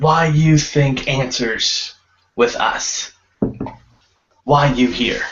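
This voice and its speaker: A man puts on a character voice at a fairly high pitch. He goes very slowly, with long, frequent pauses. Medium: actual play. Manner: broken, clipped grammar.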